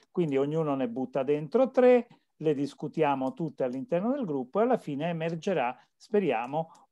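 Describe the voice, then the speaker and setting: Against a quiet background, a man with a dark, mellow tone and a fairly high pitch swings his voice very widely up and down. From central Italy. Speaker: course moderator. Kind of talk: online seminar. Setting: video call. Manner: halting. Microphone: video call.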